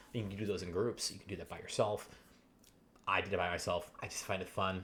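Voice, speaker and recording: A very fast, monotone man's voice, fairly low in pitch, with flat intonation and big swings in loudness. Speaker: gaming video creator. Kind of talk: gaming tutorial. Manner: halting, many fillers.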